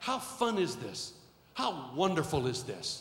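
A man talks in a high pitch, with noticeable background noise present. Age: 60s. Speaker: pastor. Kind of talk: sermon. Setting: church with live congregation. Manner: animated, repetitive.

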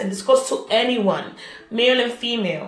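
Music plays in the background and the room echo is audible. A woman speaks at a moderate pace in a high pitch, with an animated tone. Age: 30s. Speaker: video blogger. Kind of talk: monologue rant.

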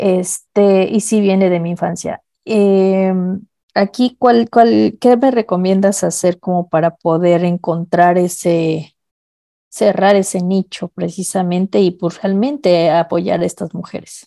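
In a dry, close sound with no echo, a woman speaks very slowly at a medium pitch, her tone dark and mellow and her pitch variation ordinary. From Mexico. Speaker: program participant. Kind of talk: question from workshop participant.

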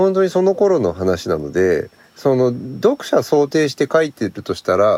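The man's pitch is fairly high, with very wide swings, and his pace is fairly slow. The recording is dry and close, with no echo. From northern Japan (Tohoku), Sendai then Akita. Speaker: writer and editor, book author. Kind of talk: casual discussion.

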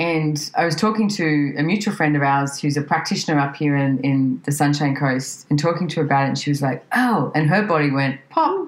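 With an Australian accent, a woman with a very deep, low pitch speaks at a fairly quick pace, keeping very even loudness, ordinary pitch variation and hardly any pauses. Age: 40s. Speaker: podcast host. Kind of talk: casual chat. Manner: animated.

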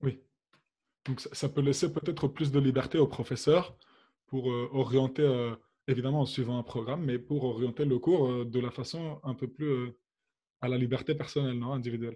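Speaking at a moderate pace, a man with a medium pitch and a dark, mellow, somewhat breathy tone keeps his intonation fairly even and leaves long, frequent pauses. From Spain. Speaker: student association podcast host. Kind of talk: interview. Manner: hesitant.

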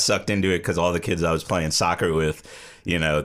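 Low-pitched and with a fairly bright tone, a man speaks in an American accent with fairly even intonation.

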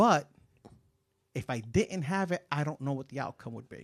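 A man with an American accent speaks at a moderate pace in a fairly high, somewhat breathy voice, with a dry, close sound and no echo. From Paterson, New Jersey, US. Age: 50s. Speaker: DJ. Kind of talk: casual chat.

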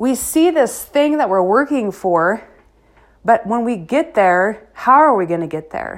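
A woman's fairly high voice at a fairly slow pace, making very wide pitch swings, on a very clean recording with a silent background. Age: 40s. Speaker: fitness and organization coach, podcast host. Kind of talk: motivational monologue. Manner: casual, conversational with fillers.

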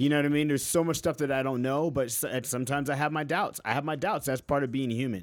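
On a very clean recording with a silent background, a man with a fairly high pitch talks at a very fast pace, fairly even in intonation and with hardly any pauses. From Portland area, then Las Vegas. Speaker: DJ and podcast co-host. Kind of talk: casual chat.

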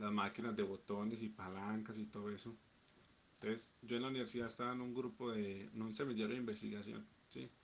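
A man talks at a fairly quick pace, his intonation fairly even. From Colombia, Medellín (Antioquia). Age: 20s. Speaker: streamer. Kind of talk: casual chat.

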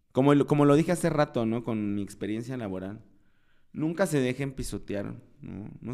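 On a very clean recording with a silent background, a man speaks in a dark, mellow tone with ordinary pitch variation. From Mexico, Guerrero (Chilpancingo). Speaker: TV presenter and entrepreneur. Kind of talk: interview.

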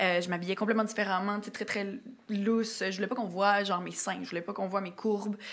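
A woman speaks at a very fast pace in a Quebec accent. Her medium pitch stays monotone, with flat intonation. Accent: Québécois French. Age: 30s. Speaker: singer-songwriter. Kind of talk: casual interview.

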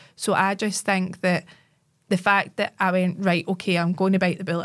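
Over a silent background in a very clean recording, a woman with a Central Belt Scottish accent talks fairly quickly at a medium pitch, her intonation monotone and flat. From Scotland, Cumbernauld. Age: 30s. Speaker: cancer patient and Instagram advocate. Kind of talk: casual interview chat. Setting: studio.

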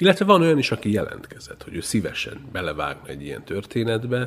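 A man at a fairly quick pace with very wide pitch swings, amid noticeable background noise. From Transylvania, Romania (Hungarian diaspora area). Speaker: radio journalist and podcaster. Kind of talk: interview conversation.

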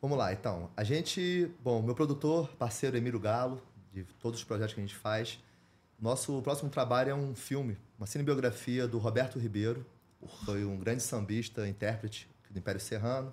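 Moderate pace and ordinary pitch variation from a man, his voice somewhat breathy and medium in pitch. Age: 40s. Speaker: journalist and documentary producer. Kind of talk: interview.

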